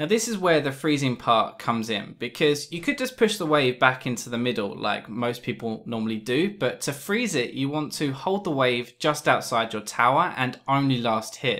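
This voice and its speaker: Lively intonation in a British accent, bright and sharp in tone, at a moderate pace with hardly any pauses. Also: man, medium pitch for a man. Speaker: gaming tutorial youtuber. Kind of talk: tutorial. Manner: casual, humorous.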